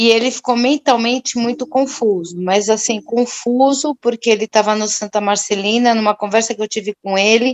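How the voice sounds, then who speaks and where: Speaking at a moderate pace with hardly any pauses, a woman with a plain, everyday voice holds a fairly high pitch and fairly even intonation, in a dry, close sound with no echo. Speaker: religious study group participant. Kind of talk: testimony.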